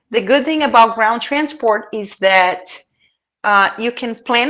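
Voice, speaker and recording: At a very slow pace, someone with a non-native accent speaks with lively intonation over a quiet background. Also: woman. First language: not English. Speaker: pet transport expert. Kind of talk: casual chat.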